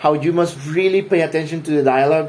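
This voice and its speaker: A man with a non-native accent talks at a fairly quick pace in an animated tone. Noticeable background noise runs behind him. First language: not English. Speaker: gaming vlogger. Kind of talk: casual monologue. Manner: halting, many repetitions.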